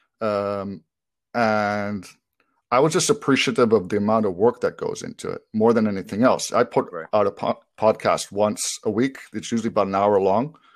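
Moderate pace and ordinary pitch variation from a man's fairly low-pitched, ordinary speaking voice. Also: very clean recording, silent background. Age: 40s. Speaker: e-commerce seller and podcast host. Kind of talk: casual interview chat.

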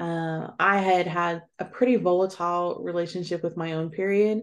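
An unremarkable speaking voice from a woman, fairly low in pitch, at a moderate pace with fairly even intonation against a quiet background. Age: 40s. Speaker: author and educator. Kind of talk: interview.

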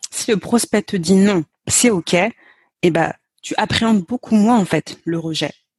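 Somewhat breathy, a woman speaks at a very slow pace and medium pitch in a dry, close sound with no echo. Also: ordinary pitch variation. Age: 30s. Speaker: sales and mindset coach. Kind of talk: casual interview.

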